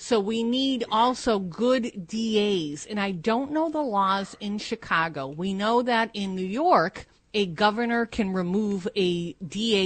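A woman uses a normal speaking voice with lively intonation. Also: quiet background. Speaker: co-host. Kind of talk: talk show chat.

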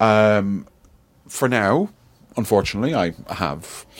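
A man with an Irish accent speaks at a fairly low pitch with ordinary pitch variation, on a very clean recording with a silent background. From Ireland. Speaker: tech company CEO. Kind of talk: casual chat. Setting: office.

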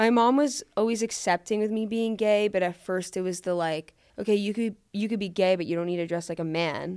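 With an unremarkable speaking voice, a woman talks at a fairly quick pace and medium pitch, using ordinary pitch variation and hardly any pauses. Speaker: TikTok creator. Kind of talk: casual chat.

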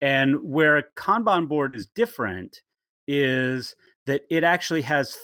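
A man with a West Coast accent at a medium pitch, speaking at a fairly slow pace. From California, Bakersfield. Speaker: legal process consultant. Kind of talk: interview. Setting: teleconference call.

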